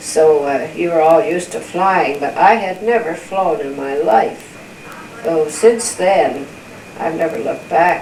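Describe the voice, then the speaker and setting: Over noticeable background noise, a woman with a very deep, low pitch speaks at a fairly slow pace with ordinary pitch variation. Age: old. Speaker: grandmother. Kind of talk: family interview answer.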